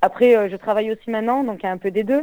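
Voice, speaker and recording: A woman speaks at a fairly high pitch with fairly even intonation and a dark, mellow tone. The sound is dry and close, with no echo. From Marseille, southern France. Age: 20s. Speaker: mountain bike rider. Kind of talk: interview. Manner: halting, many hesitations.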